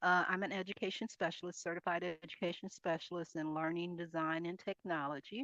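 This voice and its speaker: With a bright, sharp tone, the speech moves at a fairly quick pace with hardly any pauses and fairly even intonation, in a dry, close sound with no echo. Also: woman, fairly low pitch for a woman. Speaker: instructional designer and college faculty member. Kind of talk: conference presentation. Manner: fast.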